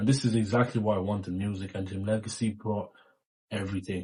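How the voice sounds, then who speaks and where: A man's fairly low-pitched, somewhat breathy voice with a dark, mellow tone and fairly even intonation. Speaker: music youtuber. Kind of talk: album ranking monologue.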